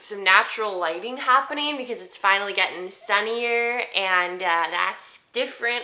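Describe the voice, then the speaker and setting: The speaker talks at a moderate pace with ordinary pitch variation. Noticeable background noise sits behind the voice. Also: woman. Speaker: voice actor. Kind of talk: casual talk to camera.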